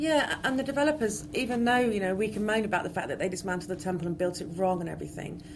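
With audible room echo, a woman speaks very fast, somewhat breathy, her intonation lively. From West Country, England. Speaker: archaeologist. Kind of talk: interview.

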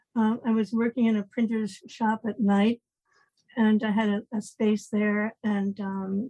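Somewhat breathy woman with a fairly high pitch and a dark, mellow tone, dry and close with no echo. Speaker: inventor of pregnancy test. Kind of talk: interview. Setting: remote call.

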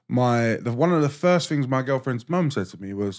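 In a very clean recording with a silent background, a man talks with a London accent at a medium pitch. His pace is fairly quick and his intonation lively. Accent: London English with Turkish-Cypriot heritage. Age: 30s. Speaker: chef. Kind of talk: casual chat. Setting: studio. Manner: blunt, profane.

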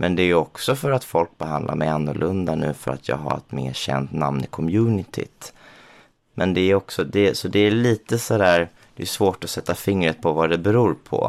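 A man speaks with a very deep, low pitch. His intonation is lively and his pace moderate. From Småland, Sweden. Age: 30s. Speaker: drag queen and designer. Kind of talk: interview.

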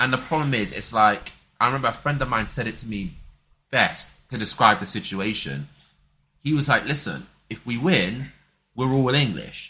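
A man's medium-pitched voice, bright and sharp in tone, with lively intonation, vocal fry, a moderate pace and long, frequent pauses. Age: 20s. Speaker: podcast co-host. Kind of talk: casual chat.

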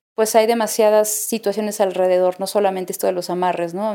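The speaker has a Mexican accent and a dark, mellow tone, talking at a moderate pace. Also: woman. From Mexico. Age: 30s. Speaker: singer. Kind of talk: interview testimony.

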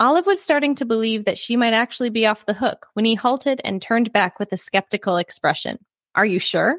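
In an unremarkable speaking voice, a woman talks at a fairly high pitch and fairly quick pace with lively intonation, the sound dry and close with no echo. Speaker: book podcast co-host. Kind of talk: casual chat. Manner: excitable.

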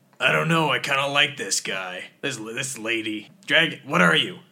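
In a put-on character voice, a man talks at a medium pitch and a moderate pace. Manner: puzzled, questioning.

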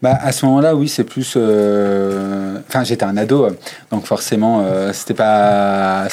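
A man at medium pitch talks in an ordinary speaking voice with ordinary pitch variation. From Savoie, eastern France (Chambéry). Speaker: drag queen. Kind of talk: interview. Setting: backstage of a bar venue.

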